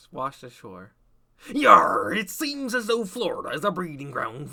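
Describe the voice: The speaker performs a put-on character voice. Its pitch is fairly high. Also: moderate pace.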